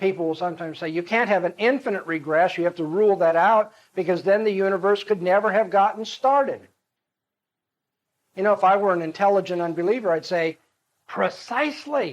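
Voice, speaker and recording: This man has a high pitch with ordinary pitch variation. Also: fairly quick pace. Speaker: apologetics lecturer. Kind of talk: lecture.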